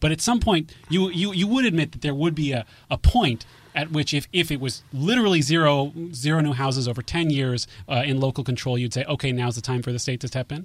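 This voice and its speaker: On a very clean recording with a silent background, a man with an American accent speaks somewhat breathily at a fairly quick pace with lively intonation. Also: fairly high pitch for a man. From Mountain View, California. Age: 30s. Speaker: housing advocate. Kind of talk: radio debate. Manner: halting, repeats words.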